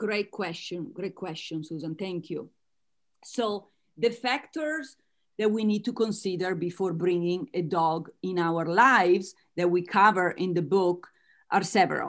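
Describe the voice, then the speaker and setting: This woman has an Italian accent and a medium pitch. She speaks at a fairly slow pace. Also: ordinary pitch variation. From Italy. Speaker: author and business coach. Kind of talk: interview.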